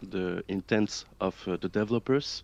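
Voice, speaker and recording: With a French accent, a man speaks with ordinary pitch variation in a dry, close sound with no echo and a quiet background. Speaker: video essayist. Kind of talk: casual panel discussion. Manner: hesitant, many fillers.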